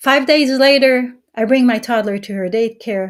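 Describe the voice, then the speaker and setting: A woman at a fairly slow pace, in a very clean recording with a silent background. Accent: Israeli. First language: Hebrew. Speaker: mother sharing her story. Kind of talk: testimony. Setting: live-streamed summit. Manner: halting.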